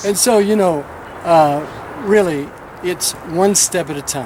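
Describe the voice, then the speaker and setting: There is noticeable background noise as a man with an American accent speaks at a high pitch with ordinary pitch variation. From Tennessee. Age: 60s. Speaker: pastor. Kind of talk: news interview.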